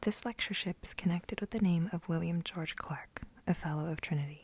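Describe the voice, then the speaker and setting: Someone whispers in a soft-spoken way. The pace is moderate. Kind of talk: asmr book reading. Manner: whispered, soft-spoken.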